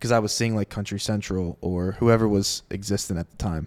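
In a normal speaking voice, a man with an American accent talks at a moderate pace and a fairly low pitch, his intonation fairly even, the sound dry and close with no echo on a very clean recording with a silent background. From US Southeast (Southwest Florida). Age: 20s. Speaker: podcast host, music industry worker. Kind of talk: casual interview chat. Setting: home recording.

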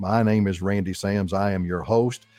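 A man talks at a fairly quick pace with ordinary pitch variation in an ordinary speaking voice, recorded very cleanly against a silent background with a dry, close sound and no echo. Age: 60s. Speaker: radio host, financial advisor. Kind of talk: radio talk show on retirement finance. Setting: radio studio. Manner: casual, conversational with frequent fillers.

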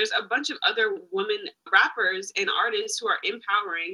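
Speaking at a fairly quick pace, a woman with an American accent keeps her intonation fairly even. Her tone is bright and sharp, and her pitch sits in the medium range. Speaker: student, guest's daughter. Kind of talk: casual chat.

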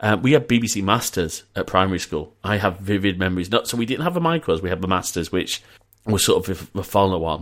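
The recording is very clean, with a silent background. A man speaks in a northern English accent. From northern England (Preston, then Leeds, Yorkshire). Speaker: podcast host. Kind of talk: casual chat. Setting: VoIP call.

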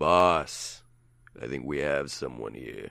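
A put-on character voice at a fairly slow pace. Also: man, very deep, low pitch for a man. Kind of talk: subordinate reporting to a boss.

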